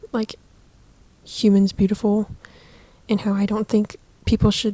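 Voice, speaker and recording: A woman with an American accent speaks at a moderate pace with long, frequent pauses. Her fairly high voice is somewhat breathy, with a dark, mellow tone. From Southern California. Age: 20s. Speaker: podcaster. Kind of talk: casual chat. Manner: casual, filler-heavy. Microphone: cheap microphone.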